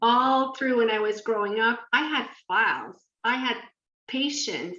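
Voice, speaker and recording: A high-pitched woman's voice at a fairly slow pace. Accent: French. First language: French. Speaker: podcast co-host. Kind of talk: casual chat.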